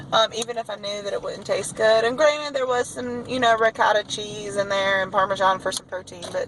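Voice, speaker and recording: Fairly high female voice amid noticeable background noise. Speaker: teacher vlogger. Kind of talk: casual vlog. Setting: in a car.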